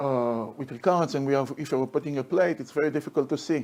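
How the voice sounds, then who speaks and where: Here a man speaks with a dark, mellow tone at a fairly high pitch. His pace is fairly quick. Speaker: orthopedic oncology surgeon. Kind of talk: conference lecture. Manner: halting.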